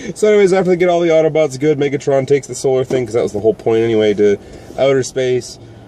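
A man speaks with ordinary pitch variation. The sound is dry with no echo, and light background noise sits underneath. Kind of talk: casual chat commentary. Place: car. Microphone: phone near.

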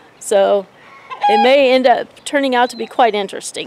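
A woman talks at a moderate pace with fairly even intonation. Noticeable background noise runs underneath. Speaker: homesteader vlogger. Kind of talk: casual vlog chat. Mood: cheerful, laughing. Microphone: phone near.

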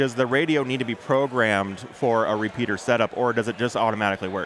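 An unremarkable speaking voice: a man talking at a fairly quick pace with ordinary pitch variation. The sound is dry with no echo, with light background noise. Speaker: podcast host. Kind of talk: casual interview. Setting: trade show floor. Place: hall. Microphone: headset.

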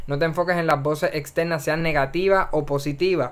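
A man speaks at a fairly quick pace. His pitch is fairly high and his intonation fairly even. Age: 20s. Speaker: podcast host. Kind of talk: solo monologue. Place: home room. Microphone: studio mic.

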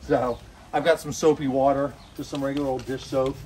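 Loud noise fills the background. Through it, a man talks fairly quickly. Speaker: homesteader doing tractor repair. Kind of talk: tutorial. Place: garden. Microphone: camera far.

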